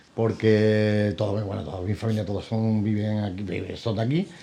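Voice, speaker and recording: In an Andalusian accent, a man with a medium pitch and a dark, mellow tone talks at a moderate pace. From Andalusia, Axarquía (Vélez-Málaga). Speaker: businessman. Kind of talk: TV interview.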